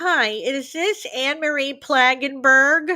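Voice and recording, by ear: In a put-on character voice, a woman speaks high and nasal at a fairly slow pace.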